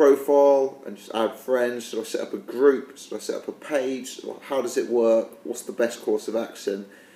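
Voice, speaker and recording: Noticeable background noise sits under fairly quick speech. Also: man. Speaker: boxing commentary youtuber. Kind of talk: casual vlog talk. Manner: hesitant, many fillers.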